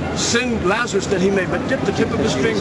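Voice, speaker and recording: Through loud background noise, a man speaks at a fairly quick pace. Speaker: street preacher. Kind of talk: street preaching, confrontational sermon. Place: street. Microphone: camera far.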